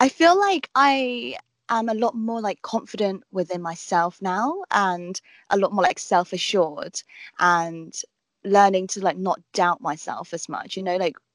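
A woman speaks with a southern English accent at a medium pitch and lively intonation. The sound is dry and close with no echo, over a quiet background. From southern England. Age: 20s. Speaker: travel vlogger and TV presenter. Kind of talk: casual chat. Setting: video call.

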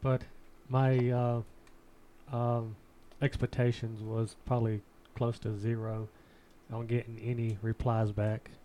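With a Southern US accent, a man talks in a dark, mellow tone at a fairly slow pace, his intonation monotone and flat, with long, frequent pauses. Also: medium pitch for a man. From US South. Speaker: podcast host. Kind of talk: casual chat. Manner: joking, casual.

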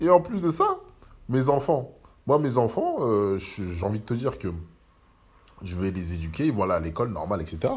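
Pausing long and often, a man with a somewhat breathy, medium-pitched voice swings very widely in pitch. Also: moderate pace. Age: 30s. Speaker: podcaster. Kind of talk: casual monologue. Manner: halting.

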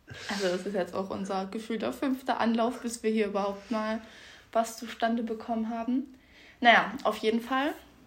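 A woman talks at a moderate pace with a fairly high pitch. Her voice is somewhat breathy and her intonation fairly even. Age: 20s. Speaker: podcast co-host. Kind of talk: casual chat.

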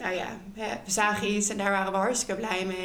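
A woman at a medium pitch speaks with audible room echo around her voice. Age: 20s. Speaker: photographer and former maternity nurse. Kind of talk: interview about personal experience.

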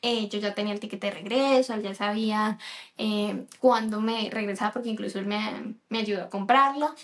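There is noticeable background noise behind this recording. A woman speaks at a fairly high pitch and a moderate pace with fairly even intonation. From Colombia. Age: 30s. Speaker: podcast co-host, nutrition student. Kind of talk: casual chat.

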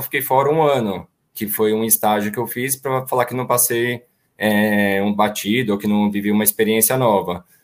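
A man's normal speaking voice at medium pitch and a moderate pace, with fairly even intonation, in a very clean recording with a silent background. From São Paulo. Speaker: auto parts business owner. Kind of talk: panel discussion.

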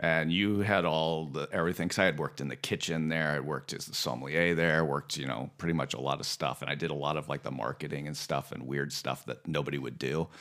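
Very fast speech with an American accent, fairly even intonation, vocal fry and hardly any pauses. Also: man, very deep, low pitch for a man. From US West Coast (Santa Ynez Valley, California). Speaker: restaurant owner. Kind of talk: casual chat.

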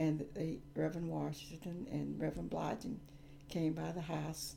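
In a South Carolina accent, a woman speaks at a fairly slow pace. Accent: Southern US (South Carolina). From US South, South Carolina upstate (Gaffney). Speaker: retired teacher. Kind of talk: interview. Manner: halting.

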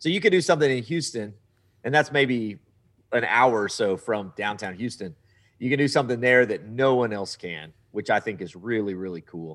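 A man in a Texan accent, medium-pitched and animated, with lively intonation at a moderate pace on a very clean recording with a silent background. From Southeast Texas. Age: 40s. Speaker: travel TV show host. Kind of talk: casual interview.

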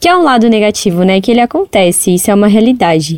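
A woman speaks with lively intonation and a fairly high pitch. Hers is an unremarkable speaking voice. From Brazil, São Paulo. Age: 20s. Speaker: entrepreneur, shop owner. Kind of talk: interview testimony.

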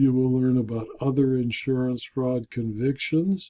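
A man's dark, mellow voice at medium pitch, with fairly even intonation. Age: 70s. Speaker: insurance consultant and video blogger. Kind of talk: scripted narration.

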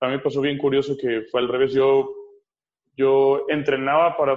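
A man with a medium-pitched voice talks at a moderate pace in a monotone, flat intonation. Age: 30s. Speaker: fitness coach and MMA fighter. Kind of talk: casual interview.

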